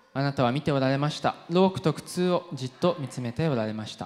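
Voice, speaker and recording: Speaking at a very fast pace, a man has a fairly high pitch. He talks in an English accent. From UK. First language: English (speaking Japanese). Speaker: pastor. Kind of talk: sermon.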